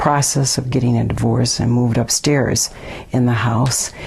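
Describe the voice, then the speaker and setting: A woman speaks with an Upper Midwest accent. Noticeable background noise runs underneath. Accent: Upper Midwest American. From Milwaukee, Wisconsin. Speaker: neighborhood resident interviewee. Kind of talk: oral history interview. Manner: hesitant, many fillers.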